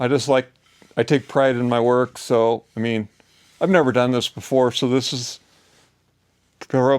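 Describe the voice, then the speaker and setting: Recorded very cleanly against a silent background, a man talks at a moderate pace with a dry, close sound and no echo. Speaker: off-grid DIY woodworker. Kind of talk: workshop tutorial. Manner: casual, hesitant; loud.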